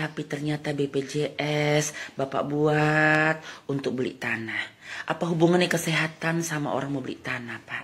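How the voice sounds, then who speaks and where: The woman's voice is very deep and low and somewhat breathy. She speaks at a fairly slow pace with fairly even intonation. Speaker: comedian doing satirical monologue. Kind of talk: comedic satirical monologue addressed to the president.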